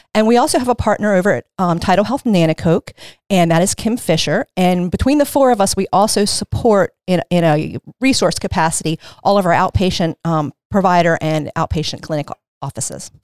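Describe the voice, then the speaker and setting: A woman with a normal speaking voice and an American accent talks at a fairly quick pace and a medium pitch with lively intonation, in a dry, close sound with no echo. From Maryland Eastern Shore, Caroline County. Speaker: infection prevention nurse. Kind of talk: interview.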